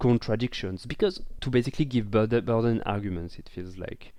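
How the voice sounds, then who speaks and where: A man with a strong French accent, medium in pitch, dark and mellow in tone, against a quiet background. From France. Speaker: podcast co-host. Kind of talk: casual chat. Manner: halting, many fillers and repeats.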